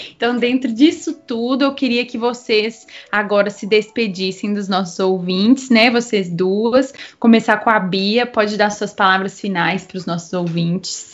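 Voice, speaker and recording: With ordinary pitch variation, an ordinary speaking voice proceeds fairly slowly. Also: woman, fairly high pitch for a woman. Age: 20s. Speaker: podcast host, brass musician. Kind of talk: casual chat.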